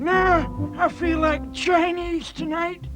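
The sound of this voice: A cartoonish character voice at an extremely high pitch, very slow pace, with clear music in the background.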